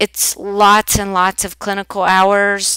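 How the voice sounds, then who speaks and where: With an Oklahoma accent, a woman speaks at a medium pitch in a bright, sharp tone. The recording is very clean, with a silent background. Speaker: nursing instructor. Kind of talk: recorded course welcome lecture. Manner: casual, with filler ums.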